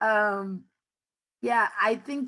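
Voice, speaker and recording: A woman's bright, sharp tone with ordinary pitch variation against a quiet background. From Mexico (Nayarit), raised in Oklahoma City. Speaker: immigrant rights campaign manager. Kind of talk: panel discussion. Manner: deliberately slow for interpretation.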